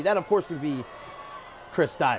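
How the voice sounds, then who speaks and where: With lively intonation and a fairly high pitch, a man speaks against noticeable background noise. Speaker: wrestling show commentator. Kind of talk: live show commentary. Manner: relaxed.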